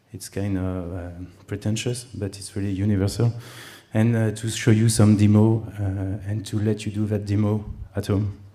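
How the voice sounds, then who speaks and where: A man's fairly low, dark, mellow voice in a monotone, flat intonation, at a moderate pace, with audible room echo. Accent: French. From France. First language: French. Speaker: conference speaker, web company CEO. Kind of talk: conference talk. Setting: stage with audience. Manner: hesitant, many fillers.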